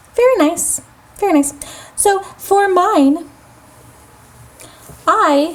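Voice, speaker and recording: In a squeaky, put-on character voice, the speaker goes at a very slow pace with long, frequent pauses. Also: woman, extremely high pitch for a woman. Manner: calm, unenthusiastic.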